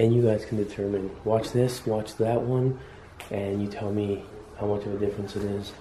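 The voice is somewhat breathy and monotone, with flat intonation at a moderate pace. Audible room echo and light background noise surround it. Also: man, fairly low pitch for a man. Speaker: urban explorer vlogger. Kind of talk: casual vlog chat. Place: home room. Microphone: phone near.

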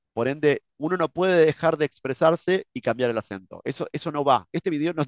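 Against a quiet background, the speaker talks with an Argentine accent and ordinary pitch variation, the sound dry with no echo. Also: man. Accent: Rioplatense Argentine Spanish. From Argentina, Buenos Aires. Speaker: English teacher, YouTuber. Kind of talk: reaction video commentary. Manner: halting, many fillers and repetitions. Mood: opinionated, disagreeing. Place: home room.

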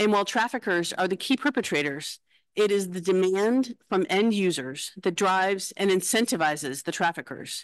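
A woman's lively intonation at a moderate pace, dry with no echo, against a quiet background. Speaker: conference host. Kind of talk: formal opening address. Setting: conference hall with live audience. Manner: formal. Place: hall. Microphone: podium.

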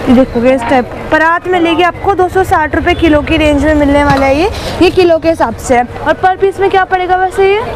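Clear background noise sits under speech that runs at a fairly quick pace with few pauses and ordinary pitch variation. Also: woman, extremely high pitch for a woman.

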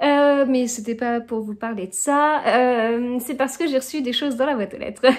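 Her pitch is high and her pitch variation ordinary. The woman keeps a moderate pace with hardly any pauses. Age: 30s. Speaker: book vlogger. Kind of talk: casual vlog talk to camera. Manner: hesitant, many filler sounds. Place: home room. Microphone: phone near.

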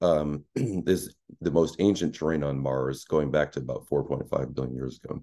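A man's very deep, low voice in a dark, mellow tone, moderate pace and ordinary pitch variation. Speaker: planetary scientist; presenter. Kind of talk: lecture. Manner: halting, many fillers. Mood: enthusiastic, explanatory. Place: home room.

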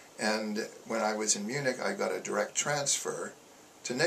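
A man speaks at a very slow pace. Light background noise sits behind him. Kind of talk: interview answer. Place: office.

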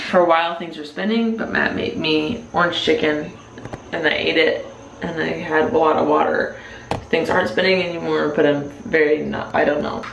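The voice moves at a moderate pace, with audible room echo and light background noise. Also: woman. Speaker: vlogger. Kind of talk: casual vlog chat. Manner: drunk, slurred and droopy speech. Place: bathroom. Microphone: phone near.

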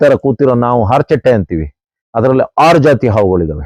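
A man's dark, mellow voice at a medium pitch, with lively intonation and a dry, close sound free of echo. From Western Ghats, Karnataka. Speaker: environmental activist. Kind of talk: outdoor talk to camera. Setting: outdoors. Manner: animated.

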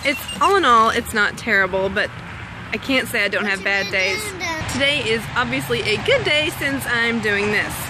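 A woman talks at a moderate pace over noticeable background noise, her voice sounding dry with no echo. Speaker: stay-at-home mom vlogger. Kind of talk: casual vlog chat. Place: garden. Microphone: phone near.

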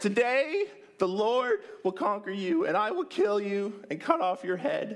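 A high, put-on character voice from a man at a moderate pace.

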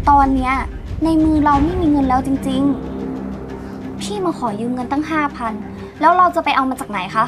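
The voice shows ordinary pitch variation, with clear music in the background. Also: woman. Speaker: drama actor. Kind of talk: acted dialogue. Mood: distressed, pleading. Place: home room.

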